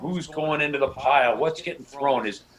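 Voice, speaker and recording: Through noticeable background noise, a man with a fairly high voice talks at a very fast pace. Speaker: radio play-by-play broadcaster. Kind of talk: interview answer, casual talk.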